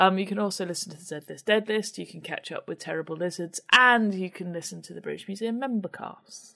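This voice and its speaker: Speaking at a fairly quick pace with hardly any pauses, a woman with an English accent uses a medium pitch, ordinary pitch variation and big swings in loudness. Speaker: podcast co-host. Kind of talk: casual chat.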